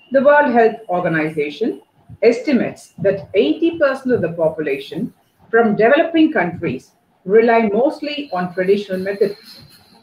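In a room with audible echo, a woman with a fairly high, somewhat breathy voice speaks at a moderate pace with very wide pitch swings. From India. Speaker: college dean. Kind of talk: welcome address. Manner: formal. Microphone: earbuds.

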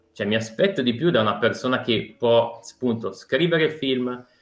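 With an ordinary speaking voice, a man talks at a medium pitch, and his pitch varies in an ordinary way. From Brianza, Lombardy, Italy. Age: 30s. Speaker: osteopath, guest debater. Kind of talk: casual debate.

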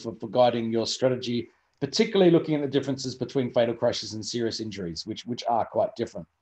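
Over a quiet background, a man with an Australian accent speaks very fast at a medium pitch in a dark, mellow tone. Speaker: road safety research centre deputy director. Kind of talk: webinar introduction. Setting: video call from home.

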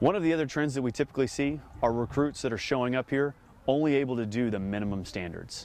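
Talking very fast at a medium pitch, a man shows ordinary pitch variation in a dry sound with no echo. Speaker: Marine officer, company commander. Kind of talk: explanatory interview. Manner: formal, measured, informative. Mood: calm, matter-of-fact. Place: open country. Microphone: lapel.

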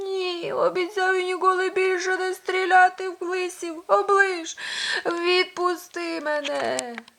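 A woman's put-on character voice, squeaky and extremely high, fairly slow and fairly even in intonation, with big swings in loudness. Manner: plaintive, begging.

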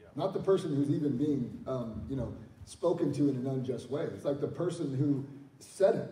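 Audible room echo surrounds a man's fairly high voice. He talks at a fairly quick pace. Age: 40s. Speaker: pastor. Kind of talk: church panel discussion. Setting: church. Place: church.

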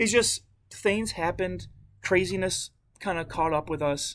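The speech moves at a fairly slow pace with a fairly bright tone. Pitch varies in an ordinary way. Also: man, high pitch for a man.

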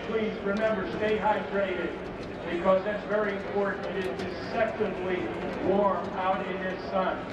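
A man talks at a moderate pace. There is audible room echo and loud background noise. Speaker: airshow announcer. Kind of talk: airshow announcer speaking live over PA to a crowd. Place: stadium.

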